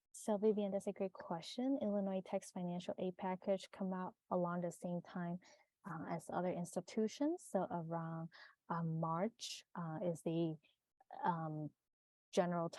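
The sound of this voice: A woman's fairly slow, fairly low-pitched voice, dark and mellow in tone, with fairly even intonation and a dry, close sound with no echo.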